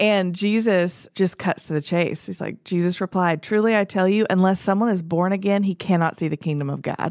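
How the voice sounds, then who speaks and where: A woman speaks in an ordinary speaking voice at a medium pitch and a fairly quick pace, with fairly even intonation. The recording is very clean, with a silent background. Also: hardly any pauses. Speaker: podcast host. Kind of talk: casual chat.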